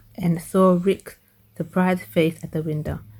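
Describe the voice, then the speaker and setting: A woman's fairly low, somewhat breathy voice with a dark, mellow tone and fairly even intonation. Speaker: ASMR reader, dyslexic reader. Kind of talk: ASMR storybook reading. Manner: whispered, relaxing.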